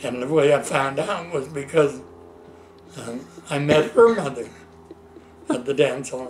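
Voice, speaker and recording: Delivered at a fairly slow pace with long, frequent pauses, the speech carries audible room echo and noticeable background noise. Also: man, fairly high pitch for a man. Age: 80s+. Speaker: elderly man recounting his life. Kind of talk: casual chat. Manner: halting.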